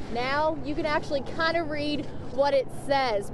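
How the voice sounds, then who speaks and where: A woman speaks in a high voice with ordinary pitch variation. Noticeable background noise runs underneath. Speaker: TV news reporter. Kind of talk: TV news report.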